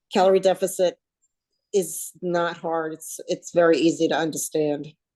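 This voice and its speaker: Her voice has a dark, mellow tone and a fairly low pitch as a woman with a New Jersey accent speaks at a moderate pace with fairly even intonation. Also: big swings in loudness. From US Northeast, New Jersey. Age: 60s. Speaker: weight loss coaching client. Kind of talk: casual interview chat.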